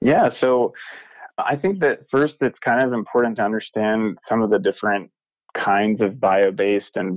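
A man with an American accent at a moderate pace, in a dry, close sound with no echo. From US South, North Carolina. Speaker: materials engineer in outdoor apparel. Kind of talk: interview. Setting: phone call.

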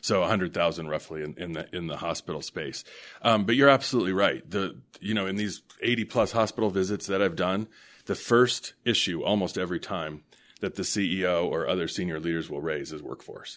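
With an American accent, a man speaks in a very deep, low voice with ordinary pitch variation. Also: fairly quick pace. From US West, Denver, Colorado. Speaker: hospital association executive. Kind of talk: interview.

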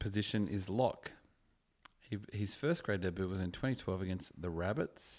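With an Australian accent, a man with a fairly low pitch speaks in an animated tone at a moderate pace with ordinary pitch variation, on a very clean recording with a silent background. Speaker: podcaster guest. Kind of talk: casual drunken chat. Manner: joking, animated.

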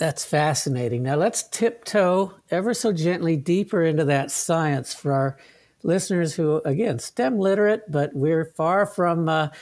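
Over a silent background in a very clean recording, a man uses a normal speaking voice, fairly high in pitch, at a moderate pace with ordinary pitch variation. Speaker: podcast host. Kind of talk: interview.

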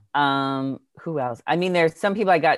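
This is a man talking. He has a plain, everyday voice. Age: 40s. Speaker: entertainment interviewer and podcast host. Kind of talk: casual chat.

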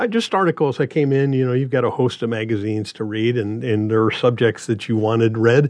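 This man has a Midwestern American accent and a medium pitch, speaking at a fairly quick pace with ordinary pitch variation. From Nebraska. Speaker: radio reading volunteer. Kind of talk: casual interview. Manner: halting.

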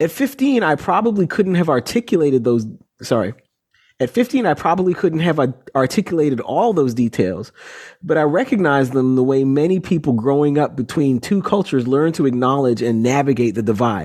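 A normal speaking voice moves at a fairly quick pace with lively intonation and very even loudness. The background is quiet. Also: man, fairly high pitch for a man. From Canada, Toronto. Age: 40s. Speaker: author and sports journalist. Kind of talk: interview.

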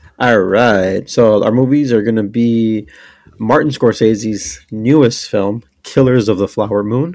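Very clean recording, silent background, and a man with a normal speaking voice at medium pitch. He talks fairly slowly with ordinary pitch variation. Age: 30s. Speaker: podcast co-host. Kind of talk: casual chat.

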